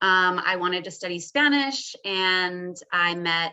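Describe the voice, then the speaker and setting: An ordinary speaking voice from a woman with an American accent, medium in pitch with ordinary pitch variation. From Texas. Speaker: legal documents specialist, former teacher. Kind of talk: webinar panel talk. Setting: online webinar.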